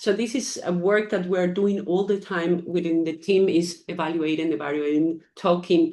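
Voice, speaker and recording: A woman with a Spanish accent and a dark, mellow, fairly low voice speaks at a moderate pace with ordinary pitch variation and hardly any pauses. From Ecuador. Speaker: foundation founder. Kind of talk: interview. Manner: hesitant, many fillers.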